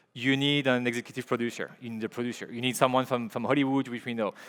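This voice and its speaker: A man speaks with a French accent. His voice sits at a medium pitch. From Belgium, Liège. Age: 40s. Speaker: filmmaker and creative director. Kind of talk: conference talk. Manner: halting, many fillers and repeats.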